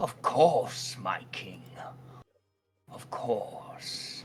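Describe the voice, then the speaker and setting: Whispering in a raspy, put-on character voice, a man performs. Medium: actual play. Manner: slow, hushed.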